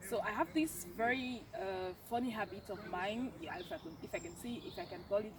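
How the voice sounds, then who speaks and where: A woman's fairly high voice with a French accent and lively intonation, over noticeable background noise. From French-speaking Cameroon. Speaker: university student. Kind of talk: casual chat. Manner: halting.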